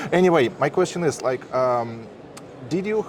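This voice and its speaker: Over noticeable background noise, a man with a Russian accent talks at a moderate pace with ordinary pitch variation. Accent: Russian, harsh. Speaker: interviewer, marketer. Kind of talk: interview.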